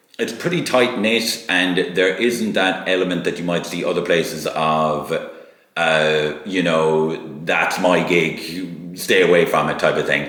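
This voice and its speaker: A man with a Kerry accent and a very deep, low pitch speaks fairly slowly with ordinary pitch variation over noticeable background noise. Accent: Irish (Kerry). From Sneem, County Kerry, Ireland. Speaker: musician. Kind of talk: interview answer.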